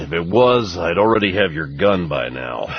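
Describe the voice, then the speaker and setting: In a raspy, put-on character voice, a man speaks at a very deep, low pitch and moderate pace with lively intonation. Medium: read story. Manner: laconic, dry.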